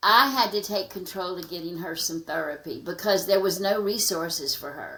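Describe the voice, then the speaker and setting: Her voice is bright and sharp, at a medium pitch for a woman with ordinary pitch variation. She keeps a moderate pace, with big swings in loudness. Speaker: nonprofit founder helping trafficking survivors. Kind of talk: podcast interview.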